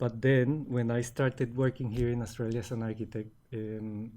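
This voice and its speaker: Dark and mellow in tone, this man's voice is at a medium pitch. His intonation is monotone and flat. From Colombia. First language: Spanish. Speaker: business owner. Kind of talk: interview. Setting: studio. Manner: hesitant, many fillers and repeats.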